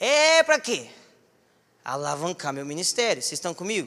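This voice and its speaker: A man with a bright, sharp tone speaks at a moderate pace, his pitch swinging very widely. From southern Minas Gerais, Brazil. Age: 20s. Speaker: preacher. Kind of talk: sermon. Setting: church. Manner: animated. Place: church. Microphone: handheld.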